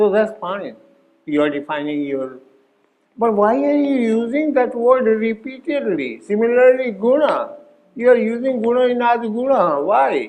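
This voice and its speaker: With audible room echo, a man speaks fairly slowly at an extremely high pitch, swinging very widely up and down. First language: not English. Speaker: Sanskrit grammar teacher. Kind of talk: workshop lecture.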